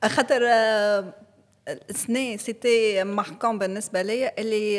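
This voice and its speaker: A woman's fairly high voice, a plain, everyday voice, with fairly even intonation at a moderate pace. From Tunisia, Kasserine. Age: 40s. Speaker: podcast guest. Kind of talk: interview conversation.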